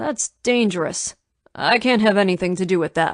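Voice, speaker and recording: Using a put-on character voice, a woman speaks at a moderate pace with a raspy medium pitch and ordinary pitch variation, the sound dry and close with no echo. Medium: read story.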